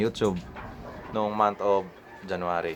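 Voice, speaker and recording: A man's fairly low-pitched voice. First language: Cebuano (Bisaya) (speaking Tagalog). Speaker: YouTuber. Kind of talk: casual vlog talk to viewers. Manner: halting, many fillers.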